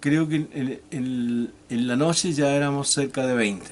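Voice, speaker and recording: Speaking very slowly with a southern Chilean accent, a man uses a fairly high pitch and fairly even intonation. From Chile, Magallanes (Porvenir, Tierra del Fuego). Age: 60s. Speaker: retired teacher, former political prisoner. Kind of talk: interview testimony. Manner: halting, many repetitions and fillers.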